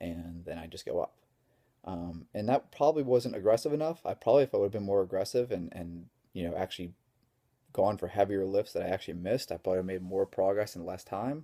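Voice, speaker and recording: Quiet and very fast, a man speaks in a fairly low, dark, mellow voice with big swings in loudness, in a dry, close recording with no echo, very clean and silent in the background. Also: lively intonation. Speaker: strength coach. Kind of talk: vlog tutorial.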